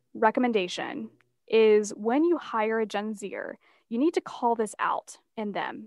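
Against a quiet background, a woman with an unremarkable speaking voice talks fairly slowly at a fairly high pitch, with ordinary pitch variation and a dry, close sound with no echo. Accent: American. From US South, North Carolina (Asheville). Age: 20s. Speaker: author and workplace consultant. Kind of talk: interview.

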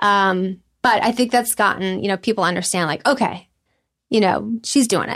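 In a normal speaking voice, a woman talks at a moderate pace with medium pitch and ordinary pitch variation, on a very clean recording with a silent background. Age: 40s. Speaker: storytelling show producer. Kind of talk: interview conversation.

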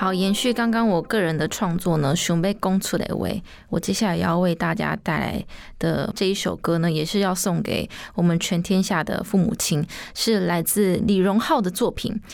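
A woman's voice with vocal fry, very even loudness and a moderate pace. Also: medium pitch for a woman, fairly even intonation. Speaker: singer. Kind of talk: radio DJ presentation.

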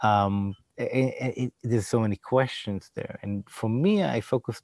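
At a fairly slow pace, a man with an Israeli accent speaks in a fairly low pitch with ordinary variation, the sound dry and close with no echo. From Israel, Jerusalem. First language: Hebrew. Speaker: designer and digital event producer. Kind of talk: interview conversation. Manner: halting.

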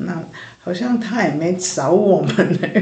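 At a fairly slow pace, a woman talks with a fairly low pitch and fairly even intonation. Audible room echo and noticeable background noise fill the recording. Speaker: church worker, pastor's wife. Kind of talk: interview testimony.

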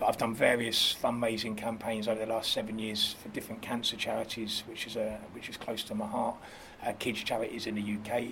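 A man talks in a medium pitch with monotone, flat intonation. Noticeable background noise runs underneath. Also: fairly quick pace. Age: 30s. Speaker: club promoter. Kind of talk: casual chat. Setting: outdoors.

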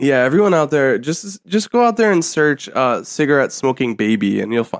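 A man's fairly high voice with very wide pitch swings, a moderate pace and hardly any pauses. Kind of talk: casual chat. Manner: animated.

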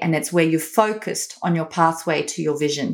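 In a very clean recording with a silent background, a woman with a slight South African accent speaks at a fairly low pitch. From Australia. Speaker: company founder and educator. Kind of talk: interview.

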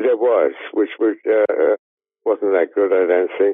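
With an Australian accent, a man speaks at a middling speed. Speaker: screenwriter. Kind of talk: interview.

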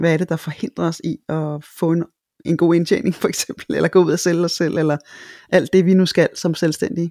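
A woman's fairly low, dark, mellow voice moves at a moderate pace with fairly even intonation, in a dry, close sound with no echo and a very clean recording over a silent background. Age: 50s. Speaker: voice-over speaker and teacher. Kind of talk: interview. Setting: studio. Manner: hesitant, many fillers.

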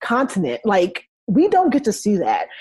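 The recording of this somewhat breathy woman is dry and close, with no echo. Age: 30s. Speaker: social worker and parent coach. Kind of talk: casual chat.

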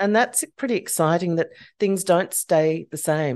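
A woman with an Australian accent has a dark, mellow tone and fairly low pitch, with ordinary pitch variation against a quiet background. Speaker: psychologist and podcast host. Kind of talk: interview; scripted disclaimer.

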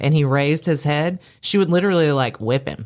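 A woman talks in a very deep, low voice, captured in a very clean recording against a silent background. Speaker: nightlife business owner and event organizer. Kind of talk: casual chat. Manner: talkative.

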